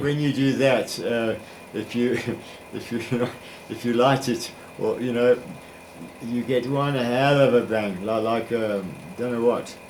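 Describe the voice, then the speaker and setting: A man talks at a fairly slow pace and a medium pitch, with fairly even intonation. He takes long, frequent pauses amid noticeable background noise. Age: 80s+. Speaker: retired science teacher. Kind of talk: interview answer.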